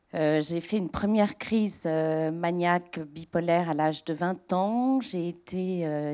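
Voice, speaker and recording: At a very slow pace, a woman talks with a dark, mellow tone, fairly low pitch for a woman and ordinary pitch variation, on a very clean recording with a silent background. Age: 50s. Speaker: author and patient. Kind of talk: testimony. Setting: auditorium with audience. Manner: hesitant, many fillers.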